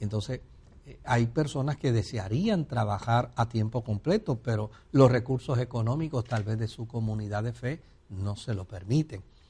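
Against a quiet background, a man speaks at a moderate pace and medium pitch in a dark, mellow, somewhat breathy tone, with ordinary pitch variation and big swings in loudness. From Puerto Rico. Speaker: pastor and broadcast host. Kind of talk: religious Q&A call-in program.

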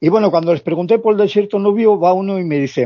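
A man at a fairly quick pace. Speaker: long-term traveller. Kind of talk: interview.

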